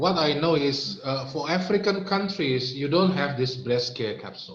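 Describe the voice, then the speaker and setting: The intonation is lively. The speaker has an Indonesian accent. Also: man, fairly high pitch for a man, moderate pace. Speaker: health product presenter. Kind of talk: product training talk. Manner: halting.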